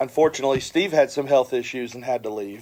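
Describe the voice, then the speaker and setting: A man speaks at a medium pitch. His pace is fairly quick and his pitch varies in an ordinary way. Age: 60s. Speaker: dive shop owner and scuba instructor. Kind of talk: casual interview. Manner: hesitant, many fillers.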